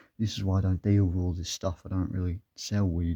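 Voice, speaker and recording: In a dry, close sound with no echo, a man with a very deep, low pitch and a dark, mellow tone speaks at a moderate pace, somewhat breathy and shaky, with fairly even intonation. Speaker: vlogger. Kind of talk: personal storytelling monologue.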